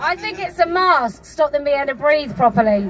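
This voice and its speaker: Pitch swings very widely at a moderate pace. Crowd noise can be heard in the background. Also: woman. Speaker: activist speaker. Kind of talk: public speech at a rally. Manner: impassioned.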